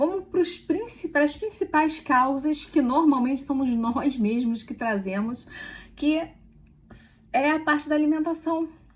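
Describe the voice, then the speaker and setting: Spoken at a fairly slow pace, the delivery carries lively intonation. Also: woman, high pitch for a woman. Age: 40s. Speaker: health and aesthetics content creator. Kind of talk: casual informative vlog talk. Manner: conversational, informal.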